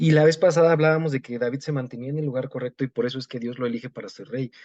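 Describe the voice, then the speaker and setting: This man talks very fast at a medium pitch, with ordinary pitch variation and big swings in loudness. The sound is dry and close, with no echo. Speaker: preacher. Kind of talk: sermon. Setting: pre-recorded at home.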